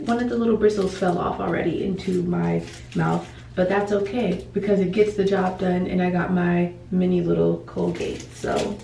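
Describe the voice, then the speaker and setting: A woman is speaking. There is noticeable background noise and audible room echo. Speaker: lifestyle vlogger. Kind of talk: casual vlog talk to camera. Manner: slow, paced speech.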